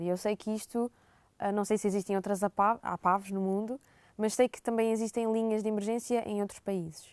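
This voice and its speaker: A woman with a European Portuguese accent speaks at a moderate pace, her pitch fairly high and her intonation fairly even. The sound is dry and close with no echo, on a very clean recording with a silent background. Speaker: student. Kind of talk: podcast interview.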